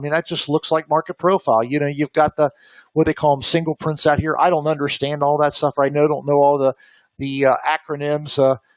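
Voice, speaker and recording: A man talks at a fairly quick pace in a fairly high pitch. The sound is dry and close, with no echo. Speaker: options trading instructor. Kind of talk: webinar lecture. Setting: online webinar. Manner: fast; hesitant, many fillers.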